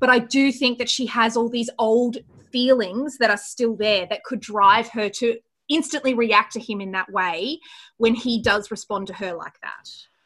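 A woman with an Australian accent speaks at a moderate pace in a fairly high voice, her pitch varying in an ordinary way while her loudness swings widely against a quiet background. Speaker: podcast co-host. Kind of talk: casual chat. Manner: animated.

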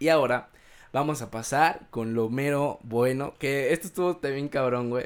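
At a fairly slow pace, a man with a plain, everyday voice talks at fairly high pitch with ordinary pitch variation. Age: 20s. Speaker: podcast host. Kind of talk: casual chat.

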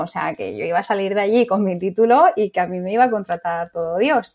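This woman has an ordinary speaking voice, medium in pitch with ordinary pitch variation. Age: 30s. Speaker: psychologist and clinic owner. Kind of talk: interview.

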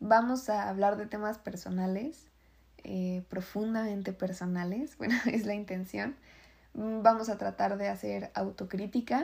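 Somewhat breathy, a woman speaks at a fairly slow pace with a medium pitch and ordinary pitch variation. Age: 20s. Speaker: podcast host. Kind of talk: personal monologue.

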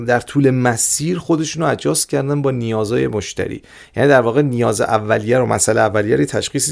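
A man with a plain, everyday voice talks at a fairly quick pace and medium pitch with lively intonation, on a very clean recording with a silent background. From Iran, Tehran. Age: 40s. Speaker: growth hacking expert and startup founder. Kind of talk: podcast interview.

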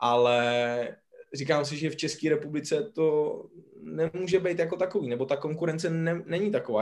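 With an ordinary speaking voice, a man talks at a fairly quick pace. His pitch is fairly high and his intonation lively. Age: 30s. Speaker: podcast co-host. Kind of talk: casual podcast interview.

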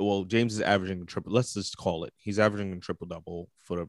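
Delivered at a very fast pace with fairly even intonation, the voice has a dry, close sound with no echo. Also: man. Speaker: podcast co-host. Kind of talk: casual sports banter podcast.

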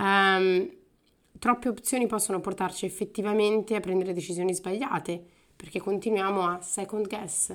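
A woman in a normal speaking voice, with medium pitch, fairly even intonation and a moderate pace. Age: 30s. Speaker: podcast host. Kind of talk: solo podcast monologue. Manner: casual, with frequent fillers.

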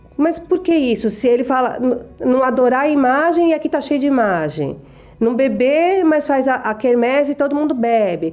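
A woman speaks at a moderate pace with a high pitch and lively intonation, her loudness very even. Noticeable background noise sits behind her. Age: 40s. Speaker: church member. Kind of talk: testimony.

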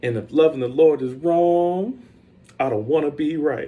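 In an American accent, a man talks at a fairly slow pace with an animated tone and a fairly high pitch, with audible room echo around him. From South Carolina. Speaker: pastor. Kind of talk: casual sermon-style podcast monologue.

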